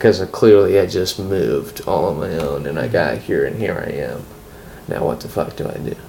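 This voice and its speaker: A man's very deep, low voice at a fairly quick pace with very wide pitch swings, over noticeable background noise. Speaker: friend of host. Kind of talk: casual chat.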